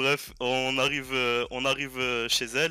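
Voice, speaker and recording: The recording is very clean with a silent background, carrying a man's medium-pitched voice with a bright, sharp tone at a fairly slow pace. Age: 20s. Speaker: caller telling a story on a stream. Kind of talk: casual storytelling. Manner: halting, many hesitations.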